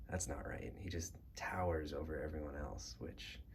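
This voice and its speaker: A soft-spoken man talks at a fairly slow pace against noticeable background noise. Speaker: action figure collector. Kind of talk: casual talk to camera, collection tour.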